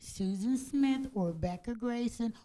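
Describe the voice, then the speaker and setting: The woman's voice has a dark, mellow tone. It is somewhat breathy. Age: 60s. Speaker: public housing tenant giving public comment. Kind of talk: public comment at a commission meeting. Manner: halting.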